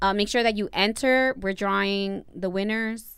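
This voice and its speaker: A woman's medium-pitched voice with a Spanish accent. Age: 30s. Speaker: podcast co-host. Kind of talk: casual chat. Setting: livestream recorded at home.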